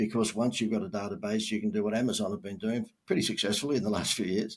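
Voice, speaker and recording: A very fast man with an Australian accent, fairly low in pitch, with ordinary pitch variation. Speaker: marketing expert. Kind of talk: podcast interview. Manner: casual, with many fillers.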